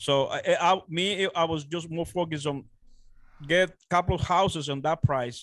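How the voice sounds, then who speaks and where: In a Dominican accent, a man with a high pitch speaks at a fairly slow pace with fairly even intonation, in a dry, close sound with no echo. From Dominican Republic. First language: Spanish. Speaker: real estate investor. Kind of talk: interview. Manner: halting.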